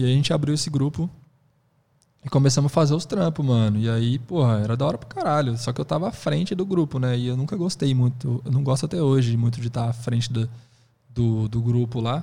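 A man's somewhat breathy, dark and mellow voice at medium pitch, fairly quick, with ordinary pitch variation. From Brazil, Presidente Prudente (São Paulo state). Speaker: hip hop dance teacher. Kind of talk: casual interview chat.

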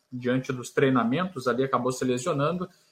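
Using a normal speaking voice, a man talks fairly quickly with ordinary pitch variation. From Rio Grande do Sul, Brazil (Santa Maria). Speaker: sports reporter. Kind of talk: radio sports debate.

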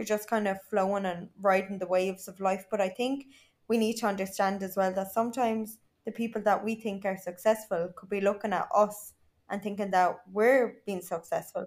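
In a very clean recording with a silent background, a woman speaks with an Irish accent. Her medium pitch and moderate pace carry monotone, flat intonation. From Ireland. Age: 20s. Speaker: social media influencer. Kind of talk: casual chat.

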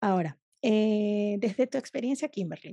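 This woman's voice has a fairly high pitch and a dark, mellow tone. The sound is dry and close, with no echo. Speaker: podcast host, food photographer. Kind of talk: interview. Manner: animated.

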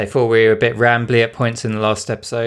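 The speaker has a strong British accent, heard in a very clean recording with a silent background. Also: man. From UK. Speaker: podcast host, UX designer. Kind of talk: casual podcast chat.

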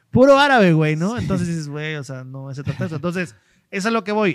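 A man with a Mexican accent speaks with lively intonation on a very clean recording with a silent background. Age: 30s. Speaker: podcast host, marketing consultant. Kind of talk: casual interview chat.

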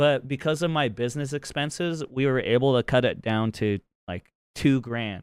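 A man talks at a moderate pace in a medium pitch with ordinary pitch variation. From Utah. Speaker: podcast host and streamer. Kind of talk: casual chat. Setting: call.

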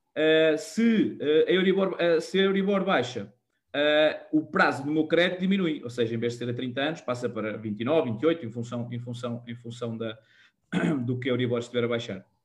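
A man's medium-pitched voice, lively in intonation, at a moderate pace. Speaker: mortgage and personal finance show host. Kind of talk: live-streamed casual panel chat. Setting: live online stream. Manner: halting, many repetitions and fillers.

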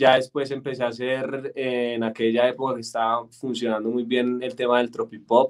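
A man with a slight Antioquia Colombian accent speaks at a fairly slow pace. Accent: Colombian paisa (Antioquia) tinge. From Colombia, Bogotá. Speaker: singer-songwriter. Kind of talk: interview.

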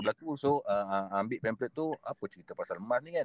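Here is a man with a normal speaking voice at a medium pitch. His fairly quick delivery has a dry, close sound with no echo. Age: 40s. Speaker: gold dealer. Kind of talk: interview.

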